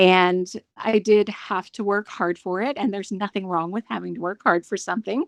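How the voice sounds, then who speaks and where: A woman's ordinary speaking voice at medium pitch, dry and close with no echo, over a quiet background. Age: 60s. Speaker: nurse. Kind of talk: personal testimony interview.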